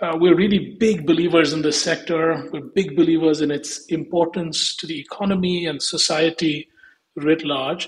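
Moderate-paced speech in an Indian accent, with fairly even intonation. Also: man, fairly high pitch for a man. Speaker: investment firm executive. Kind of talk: interview.

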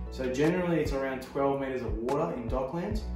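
A man at a moderate pace, with audible room echo and clear background music. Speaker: presenter. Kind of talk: tutorial. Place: home room.

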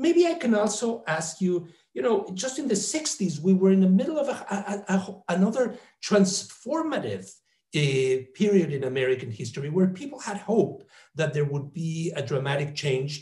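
A dark, mellow tone at a moderate pace, with very wide pitch swings. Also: man, high pitch for a man. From Mexico. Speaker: professor and interviewer; professor, interviewer. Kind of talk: interview. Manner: halting. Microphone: earbuds.

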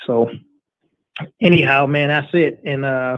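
A man is speaking at a fairly slow pace. The background is quiet. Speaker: co-host of a boxing talk show. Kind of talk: casual chat. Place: home room.

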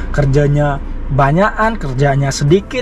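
A man at a moderate pace with ordinary pitch variation, in a dry, echo-free sound with light background noise. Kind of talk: casual vlog chat. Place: car. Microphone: lapel.

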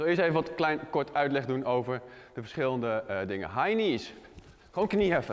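A male speaker against quiet surroundings. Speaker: fitness coach. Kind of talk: tutorial. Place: gym.

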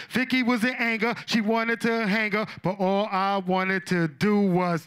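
A man with a New York accent speaks at a moderate pace in a high pitch. His tone is animated and playful. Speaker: old-school rapper, inductee. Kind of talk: acceptance speech, reminiscing. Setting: stage with audience. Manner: animated, playful, excitable.

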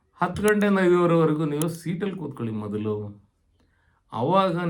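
With lively intonation and a high pitch, a man speaks amid audible room echo. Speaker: retired government employee giving career advice. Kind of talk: informal advisory talk to camera.

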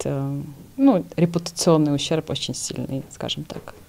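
A woman is speaking. Her pace is very slow. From Georgia. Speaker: TV news host. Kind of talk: TV interview. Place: studio. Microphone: studio mic.

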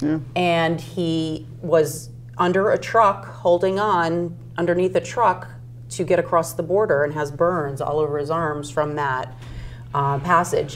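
Faint music sits behind a woman who speaks at a fairly slow pace with a very deep, low pitch. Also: ordinary pitch variation. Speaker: constable candidate and designer; candidate. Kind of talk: interview answer. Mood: earnest, moved. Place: studio. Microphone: lapel.

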